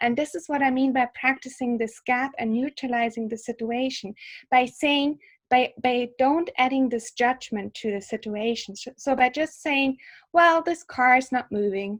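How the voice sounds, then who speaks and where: Pitched high, a woman with a German accent talks at a moderate pace with ordinary pitch variation. The recording is very clean, with a silent background. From Germany. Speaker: psychologist and yoga teacher. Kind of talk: interview. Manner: halting, with fillers.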